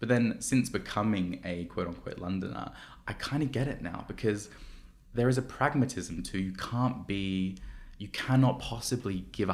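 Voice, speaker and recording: Speaking with an Australian accent, a man shows ordinary pitch variation. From Australia, Sydney. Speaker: activist and campaigner. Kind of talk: podcast interview.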